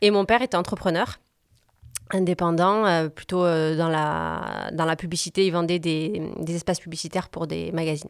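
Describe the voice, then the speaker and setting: A woman's fairly low voice at a moderate pace, with fairly even intonation, on a very clean recording with a silent background. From southern France, Montpellier. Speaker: business coach and consultant. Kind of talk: interview conversation. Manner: hesitant, many fillers.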